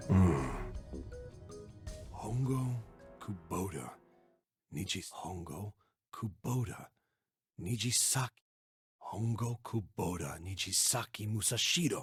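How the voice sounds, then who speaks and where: A put-on character voice delivers lines with lively intonation at a fairly slow pace. Long, frequent pauses break up the speech. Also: man, fairly low pitch for a man. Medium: video game. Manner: blunt, gruff.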